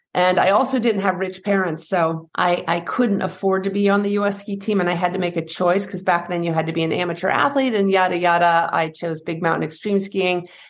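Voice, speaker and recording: A normal speaking voice with an American accent moves at a fairly quick pace with hardly any pauses. The intonation stays fairly even. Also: woman, medium pitch for a woman. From US Northeast, New Hampshire. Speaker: fear and anxiety coach, former pro skier. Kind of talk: interview conversation.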